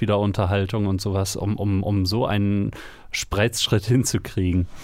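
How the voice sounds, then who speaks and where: Monotone, flat intonation marks this man's fairly low-pitched voice. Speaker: podcast co-host, citizen media maker. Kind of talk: casual chat.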